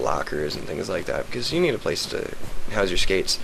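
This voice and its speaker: A man speaks amid audible room echo and noticeable background noise. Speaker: gamer showing a game server. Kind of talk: casual video game walkthrough. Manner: hesitant, many fillers.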